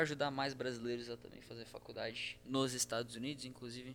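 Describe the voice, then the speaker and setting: Music plays in the background as a man with a medium pitch talks at a very fast pace. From Santa Catarina, Brazil (Criciúma). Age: young. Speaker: startup co-founder, university student. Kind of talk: casual chat.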